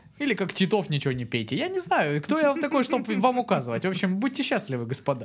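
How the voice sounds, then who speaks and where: Over noticeable background noise, a man races along at a very fast pace with hardly any pauses, his high voice swinging very widely in pitch. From Kuban, southern Russia. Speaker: podcast co-host. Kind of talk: casual chat.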